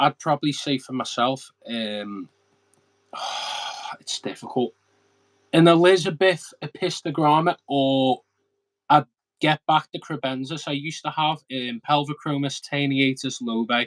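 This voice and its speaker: This man has a strong Scouse accent and a fairly high pitch with ordinary variation. He pauses long and often, and the sound is dry and close with no echo. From Liverpool, England. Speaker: aquarium hobbyist youtuber. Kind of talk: casual chat. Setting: live stream. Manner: fast.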